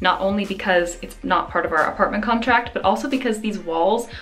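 A woman talks at a fairly quick pace with ordinary pitch variation over light background noise. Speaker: vlogger. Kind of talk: casual vlog chat. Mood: cheerful, upbeat. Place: home room. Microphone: phone near.

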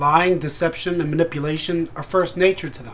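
A man speaks at a moderate pace with a high pitch. Light background noise sits behind him. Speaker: relationship advice vlogger. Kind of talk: short tips talk to camera. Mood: serious, warning. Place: home room. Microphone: webcam.

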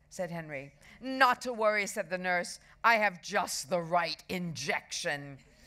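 The clip features a natural reading voice.

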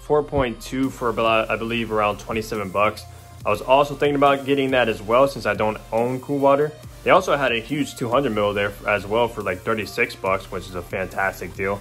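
A man's voice with ordinary pitch variation over faint background music. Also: moderate pace. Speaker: fragrance vlogger. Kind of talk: casual vlog chat. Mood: pleased, upbeat. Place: home room. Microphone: phone near.

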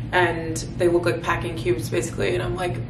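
Noticeable background noise accompanies a woman as she speaks. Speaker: lifestyle vlogger. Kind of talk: casual vlog chat. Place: home room. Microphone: phone near.

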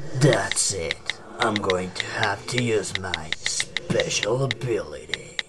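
A man's put-on character voice at medium pitch and a fairly slow pace, over loud background noise

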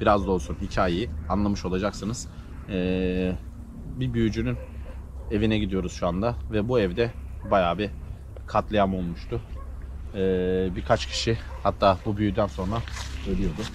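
With long, frequent pauses and a fairly slow pace, a man speaks at a very deep, low pitch in a dry sound with no echo over light background noise. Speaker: paranormal vlogger. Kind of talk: casual vlog narration. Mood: hushed, suspenseful storytelling. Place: open country.

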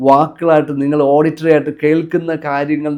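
Here is a man with an unremarkable speaking voice. His pitch sits fairly high. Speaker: motivational coach. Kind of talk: motivational talk.

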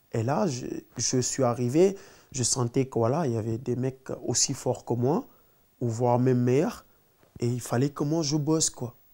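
A man speaks fairly slowly at a medium pitch with a dark, mellow tone. His pitch varies in an ordinary way, and the background is quiet. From Senegal, Dakar suburbs; Senegal. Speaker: professional footballer; interviewee. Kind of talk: interview. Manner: halting, many repetitions. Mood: relaxed, storytelling. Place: home room.

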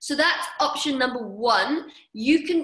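With a raised, projected voice, a woman speaks in an upbeat tone with lively intonation. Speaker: fitness coach. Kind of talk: online workout class instruction. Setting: video call. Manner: upbeat, encouraging.

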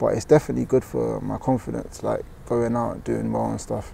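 The speech moves at a very fast pace. The sound is dry with no echo, over light background noise. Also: man. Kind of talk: interview answer. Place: open country. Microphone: lapel.

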